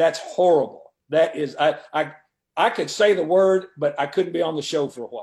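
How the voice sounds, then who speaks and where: The voice is a normal speaking voice with ordinary pitch variation. It moves at a moderate pace. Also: man, fairly high pitch for a man. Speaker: veteran football coach. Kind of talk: radio interview. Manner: talkative, rambling, repeats words.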